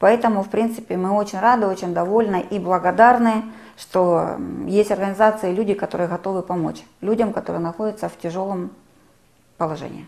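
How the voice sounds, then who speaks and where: A woman speaks in a plain, everyday voice at a medium pitch. Her intonation is fairly even and her pace fairly quick. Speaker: travel agency owner, war refugee. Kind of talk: testimony.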